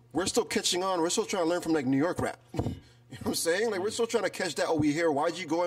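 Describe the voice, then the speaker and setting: In a Toronto accent, a man with a high pitch speaks at a fairly quick pace in an animated tone with ordinary pitch variation. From Toronto, Canada. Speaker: rap artist. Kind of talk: casual chat.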